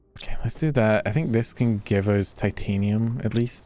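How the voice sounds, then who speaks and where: Music sits in the background behind a man's voice. He speaks at medium pitch with ordinary pitch variation. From Scotland. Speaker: vtuber streamer. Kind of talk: casual gaming livestream chat. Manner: animated.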